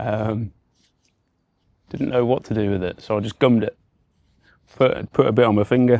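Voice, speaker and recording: A man with an English Midlands accent speaks at a medium pitch and moderate pace, his fairly even intonation broken by long, frequent pauses, in a dry, close recording with no echo. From England, Warwickshire. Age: 30s. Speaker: recovering addict. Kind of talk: testimony. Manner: halting, many fillers and repetitions.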